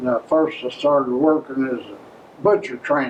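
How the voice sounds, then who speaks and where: Noticeable background noise sits behind a speaker with an Appalachian accent. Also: man. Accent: Southern Appalachian American English. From Maryville, Tennessee, USA. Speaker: World War II veteran. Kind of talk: interview answer.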